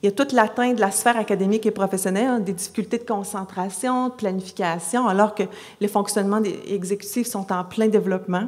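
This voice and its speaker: At a very fast pace, a woman of medium pitch speaks in a Quebec accent. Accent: Québécois French. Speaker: psychology professor. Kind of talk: conference talk. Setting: conference stage with audience. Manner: lively, moves around; many hesitations (euh).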